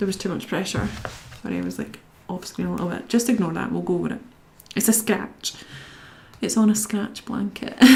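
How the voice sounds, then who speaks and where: Over noticeable background noise, a woman talks at a fairly quick pace but leaves long, frequent pauses. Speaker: video creator talking to camera. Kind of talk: careful, formal speaking voice used for camera and professional settings.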